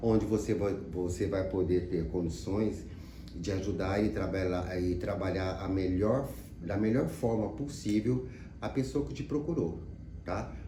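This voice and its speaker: Here a man speaks at a fairly slow pace in a very deep, low voice. Room echo is audible. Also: lively intonation. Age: 60s. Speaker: psychologist. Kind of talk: sales pitch. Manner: casual, conversational.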